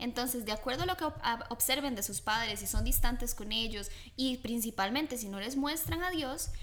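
Pitched high, a woman speaks with ordinary pitch variation. She keeps a moderate pace. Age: young. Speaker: host's daughter. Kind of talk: religious family talk.

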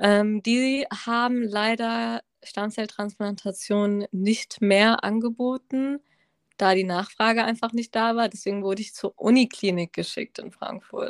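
In an ordinary speaking voice, a woman talks at a fairly slow pace with a fairly high pitch and fairly even intonation, in a very clean recording with a silent background and a dry, close sound with no echo. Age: 20s. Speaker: medical student and cancer survivor. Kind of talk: personal testimony in casual interview.

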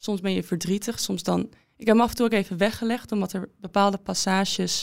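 An unremarkable speaking voice from a woman at medium pitch and moderate pace, in a very clean recording against a silent background. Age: 20s. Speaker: former fencer and student. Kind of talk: interview.

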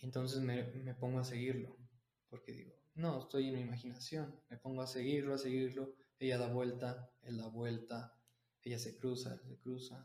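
A medium-pitched male voice in a monotone, flat intonation. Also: moderate pace. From Mexico City. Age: 20s. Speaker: university student and martial arts teacher. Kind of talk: podcast interview. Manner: halting.

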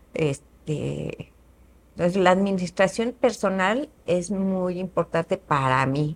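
A woman speaks with an ordinary speaking voice at a medium pitch and ordinary pitch variation. The recording is very clean, with a silent background. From Mexico, Querétaro. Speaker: businesswoman. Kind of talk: interview.

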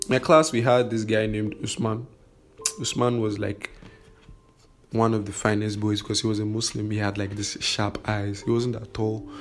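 Over noticeable background noise, a man speaks at a moderate pace with a fairly low pitch and fairly even intonation. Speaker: podcaster. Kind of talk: personal storytelling monologue. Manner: halting, many fillers.

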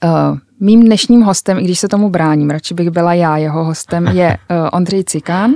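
Dark and mellow in tone, the voice moves at a moderate pace with ordinary pitch variation and a dry, close sound lacking echo. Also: woman. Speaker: magazine editor-in-chief. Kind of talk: interview. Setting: studio.

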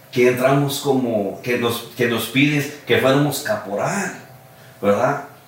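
A man at a very slow pace, with ordinary pitch variation, audible room echo and noticeable background noise. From California, US. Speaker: charro association founder. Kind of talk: casual interview.

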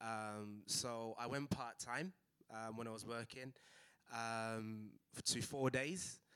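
A man with a Mancunian accent has a bright, sharp tone. His medium-pitched voice keeps fairly even intonation. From Manchester, England. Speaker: physiotherapy practice owner. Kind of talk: panel discussion.

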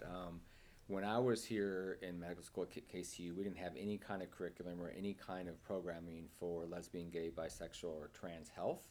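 A man speaks with an American accent and a very deep, low pitch. His intonation stays fairly even. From Nebraska. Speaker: psychiatrist. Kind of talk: casual chat.

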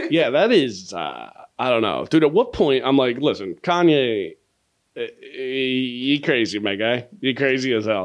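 A man with a medium-pitched voice speaks at a fairly slow pace, his lively intonation and animated tone set against a quiet background. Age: 30s. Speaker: comedian and podcast host. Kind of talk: casual chat.

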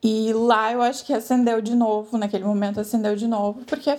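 With an unremarkable speaking voice, a woman talks fairly quickly at a fairly high pitch. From Brazil. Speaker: emigrant interviewee. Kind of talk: interview.

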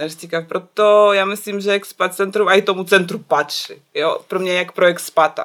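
Hardly pausing, a woman talks at a fairly quick pace with a Belarusian accent. Her intonation is monotone and flat. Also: medium pitch for a woman. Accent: foreign, Belarusian. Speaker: illustrator and graphic designer. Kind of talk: casual chat.

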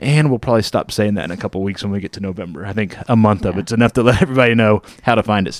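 A man's fairly low-pitched voice at a very fast pace with hardly any pauses and ordinary pitch variation, dry and close with no echo. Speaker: movie podcast host. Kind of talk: casual chat, podcast. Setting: studio.

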